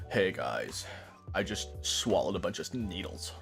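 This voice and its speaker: Clear music plays in the background as a man talks in a raspy, put-on character voice. His pace is moderate. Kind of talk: casual, slangy. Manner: affected, put-on cool.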